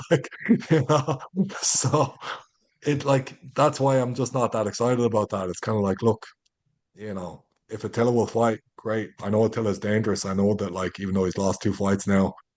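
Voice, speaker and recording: A man with an Irish accent talks in an animated tone at a moderate pace, his fairly low voice showing ordinary pitch variation over a quiet background. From Ireland. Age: 30s. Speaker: MMA fighter. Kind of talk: interview.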